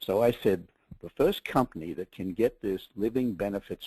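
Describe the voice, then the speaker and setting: With an Australian accent, a man speaks at a moderate pace in a fairly low voice against a quiet background. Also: dry, close sound with no echo. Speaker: media executive. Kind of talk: webinar presentation. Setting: webinar call.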